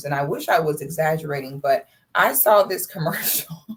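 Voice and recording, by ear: A raspy, amused put-on character voice at middle pitch and moderate pace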